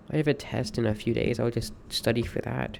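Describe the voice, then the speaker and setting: Vocal fry runs through this man's voice as he talks at a moderate pace with fairly even intonation. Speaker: streamer. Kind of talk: personal monologue. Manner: halting.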